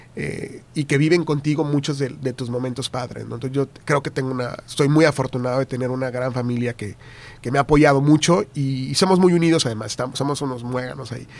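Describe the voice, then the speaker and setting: A man talks at a very fast pace. His voice sits at a medium pitch with fairly even intonation. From Tamaulipas, northern Mexico. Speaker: TV news anchor and journalist. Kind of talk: casual interview chat.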